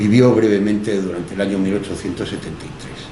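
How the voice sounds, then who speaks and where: With noticeable background noise and audible room echo, a man speaks at a fairly low pitch. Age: 60s. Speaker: history teacher. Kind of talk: public talk. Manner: halting; passionate.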